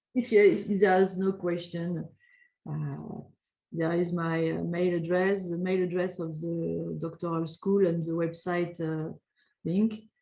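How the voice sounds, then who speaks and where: A woman's dark, mellow voice, fairly low in pitch, with a French accent, monotone and flat in intonation, at a fairly slow pace. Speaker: doctoral school representative. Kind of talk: webinar Q&A. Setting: online webinar. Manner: halting, many hesitations.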